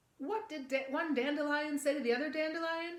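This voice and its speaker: Putting on a squeaky character voice, a woman talks at a high pitch and a fairly quick pace. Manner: ventriloquist puppet voice with lips barely moving, joking.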